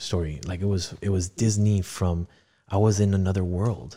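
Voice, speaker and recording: A man speaks in a very deep, low voice with a dark, mellow tone. The recording is very clean, with a silent background. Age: 40s. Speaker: podcast host sharing his own divorce story. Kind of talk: interview, answering questions about personal story.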